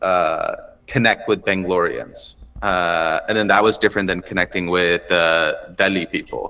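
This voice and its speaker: This voice carries an American accent. It moves at a medium speed. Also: man. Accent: American accent, noticeable in India. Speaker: stand-up comedian. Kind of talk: casual chat.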